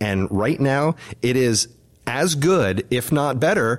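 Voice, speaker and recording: The man has an unremarkable speaking voice at a medium pitch. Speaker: community association president, podcast host. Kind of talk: casual group chat podcast.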